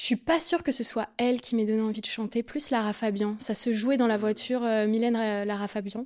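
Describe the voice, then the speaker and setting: With a normal speaking voice, a woman talks at a fairly quick pace with hardly any pauses, fairly even intonation and a fairly high pitch. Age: 20s. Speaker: singer-songwriter. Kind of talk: interview.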